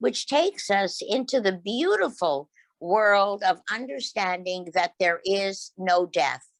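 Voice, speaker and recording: Against a quiet background, a woman speaks very slowly in a medium-pitched voice with ordinary pitch variation. Her loudness stays very even, and the sound is dry and close with no echo. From Quebec. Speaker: behavioral scientist and mediumship presenter. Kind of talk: lecture.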